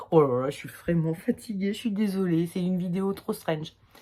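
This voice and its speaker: The recording is very clean, with a silent background. A woman speaks at a moderate pace with ordinary pitch variation. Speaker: tarot reader. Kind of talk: tarot reading video. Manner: hesitant, casual with fillers.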